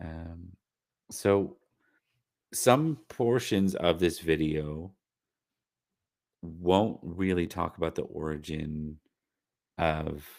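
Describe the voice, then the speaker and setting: Over a silent background in a very clean recording, a man speaks at a very deep, low pitch with ordinary pitch variation. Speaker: livestream host. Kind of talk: casual livestream lore talk. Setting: live stream. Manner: hesitant, many fillers.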